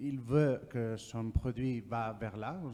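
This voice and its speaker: Very slowly and with fairly even intonation, a man speaks at a medium pitch in a dark, mellow tone. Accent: non-native. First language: not French (speaking French). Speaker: audience member asking question. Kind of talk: audience question at conference. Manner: halting.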